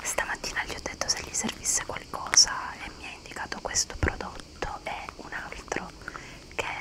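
Whispering at a moderate pace, a woman leaves long, frequent pauses while her loudness swings widely. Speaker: ASMR creator. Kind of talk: ASMR whispered haul chat. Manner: whispered. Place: home room. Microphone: studio mic.

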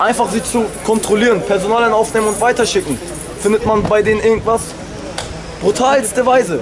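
With crowd noise behind him, a man speaks fairly quickly in a high voice, leaving long, frequent pauses, his loudness very even and his intonation fairly even. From Germany, Hamburg, Turkish family. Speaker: local resident, witness. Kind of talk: street interview. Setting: outdoors. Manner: agitated. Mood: upset, indignant. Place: street. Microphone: phone near.

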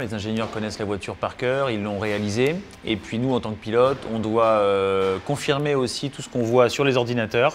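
A man at a moderate pace, fairly even in intonation, with music in the background. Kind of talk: interview answer. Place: workshop. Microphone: lapel.

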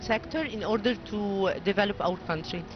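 A woman talks at a fairly slow pace. The sound is dry with no echo, and background noise is noticeable. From Egypt. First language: Arabic. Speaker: engineer and NGO board member. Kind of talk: interview. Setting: studio. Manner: halting. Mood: earnest, committed. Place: boat. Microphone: handheld.

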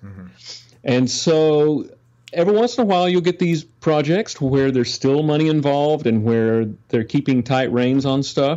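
With lively intonation, a man uses an ordinary speaking voice at a fairly high pitch. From Texas, Dallas. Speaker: session guitarist. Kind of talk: casual interview.

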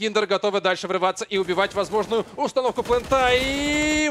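A man speaks with an animated tone at a fairly quick pace. His pitch is high, with ordinary variation. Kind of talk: live esports commentary. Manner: fast, animated play-by-play; analytical, reacts with exclamations.

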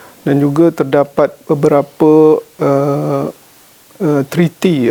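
A man speaks in a Malaysian accent with a fairly high voice. Noticeable background noise runs underneath. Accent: Malaysian Malay. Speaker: government official. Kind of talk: formal interview answers. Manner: many filler hesitations.

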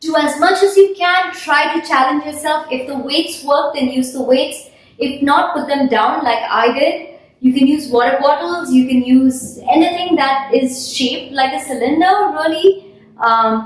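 There is audible room echo as a woman speaks at a fairly slow pace, her high pitch showing ordinary variation. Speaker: fitness instructor. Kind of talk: workout instruction. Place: home room.

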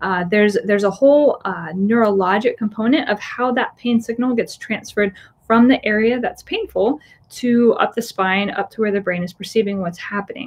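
A woman with an American accent speaks at a moderate pace, her fairly high voice somewhat breathy with ordinary pitch variation. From Florida. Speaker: physical therapist. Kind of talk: webinar lecture. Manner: casual with fillers. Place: office. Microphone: webcam.

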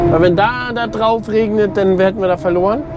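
Loud background noise surrounds a man speaking at a moderate pace. His voice has ordinary pitch variation and a dry sound with no echo. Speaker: farmer vlogger. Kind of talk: casual vlog chat. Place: farm machine. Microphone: lapel.

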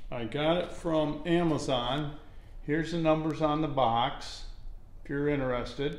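A man speaks at a fairly slow pace. The room adds audible echo. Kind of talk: casual tutorial vlog. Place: garage. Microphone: phone near.

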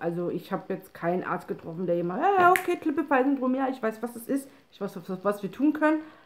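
A woman talks at a fairly quick pace with hardly any pauses, her pitch swinging very widely and her loudness rising and falling sharply over light background noise. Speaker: person with a chronic spinal condition. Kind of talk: casual talk to camera. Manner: hesitant, with pauses and stumbling. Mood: calm, slightly tired. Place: home room. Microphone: phone near.

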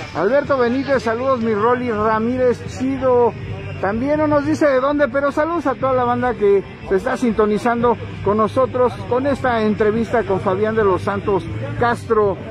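Dry and without echo, this man's voice has an extremely high pitch and ordinary pitch variation. He keeps a moderate pace and very even loudness over noticeable background noise. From Mexico. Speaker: internet radio host. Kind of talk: casual interview. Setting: mobile studio at street market. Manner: animated. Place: market.

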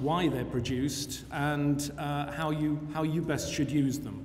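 Over light background noise, a man talks fairly slowly in a monotone, flat intonation. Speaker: guest lecturer. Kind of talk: lecture. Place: hall. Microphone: podium.

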